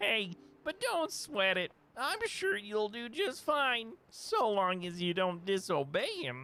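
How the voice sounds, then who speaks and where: Using a put-on character voice pitched high, a man speaks at a fairly slow pace. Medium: game stream. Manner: folksy, casual.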